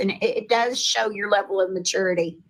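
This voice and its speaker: This voice has a Texan accent. It moves at a moderate pace. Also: woman. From Texas. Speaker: live stream participant. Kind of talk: casual chat.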